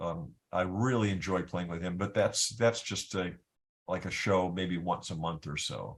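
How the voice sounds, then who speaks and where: A man with a US Midwestern accent speaks with a very deep, low pitch. His pace is moderate and his intonation fairly even. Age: 60s. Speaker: guitarist. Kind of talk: interview, casual chat. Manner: halting, many repeated words.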